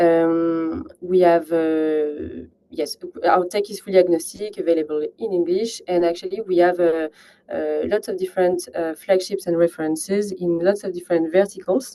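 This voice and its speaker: The intonation stays fairly even. The speaker has a French accent. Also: woman, fairly low pitch for a woman, moderate pace. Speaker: partnerships manager at a climate software company. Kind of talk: webinar presentation. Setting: online webinar. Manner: halting, many fillers.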